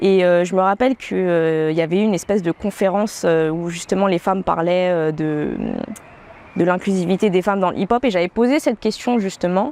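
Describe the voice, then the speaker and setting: The voice has a dark, mellow tone and ordinary pitch variation at a fairly quick pace. The sound is dry and close, with no echo. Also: woman, medium pitch for a woman. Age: 20s. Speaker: professional dancer and beatmaker. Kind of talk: interview. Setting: outdoor terrace. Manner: hesitant, many filler sounds.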